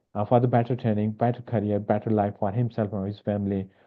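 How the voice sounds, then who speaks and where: A man's fairly quick, monotone delivery with flat intonation. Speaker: medical education webinar presenter. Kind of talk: webinar presentation. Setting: online webinar. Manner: fast.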